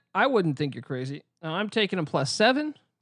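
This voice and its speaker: A man's high, animated voice full of very wide pitch swings. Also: quiet background. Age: 30s. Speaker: sports betting podcast co-host. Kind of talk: casual chat.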